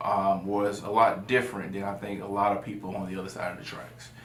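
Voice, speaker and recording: There is noticeable background noise and audible room echo as a man with an American accent talks at a moderate pace in a fairly low pitch. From US South, South Carolina (Florence). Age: 20s. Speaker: lawyer and city council candidate. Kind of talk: interview. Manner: hesitant, many fillers.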